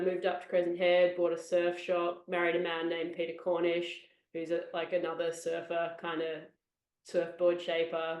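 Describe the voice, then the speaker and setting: In an Australian accent, a woman with a fairly low pitch speaks at a moderate pace. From Australia, Sydney (Bondi Beach). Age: 30s. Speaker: surf podcast co-host, journalist. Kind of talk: casual interview chat.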